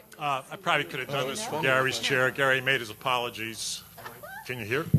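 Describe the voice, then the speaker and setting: With noticeable background noise behind it, the voice moves at a fairly quick pace and shows ordinary pitch variation. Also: man, medium pitch for a man. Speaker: dental task force co-chair speaking at public meeting. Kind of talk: public comment at council meeting. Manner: halting, many fillers.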